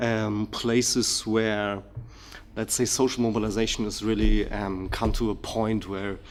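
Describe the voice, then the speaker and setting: This man has a German accent and a fairly low pitch. He speaks at a fairly slow pace, with audible room echo. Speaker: political researcher, keynote speaker. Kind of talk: lecture, partly reading from written paper. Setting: conference hall with audience. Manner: hesitant, many fillers.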